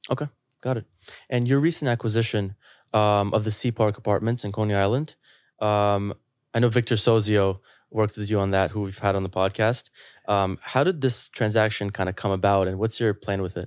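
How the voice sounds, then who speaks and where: This is a man with a plain, everyday voice, fairly low in pitch and fairly even in intonation. The recording is very clean, silent behind him, and dry and close with no echo. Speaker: podcast host. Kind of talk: casual interview.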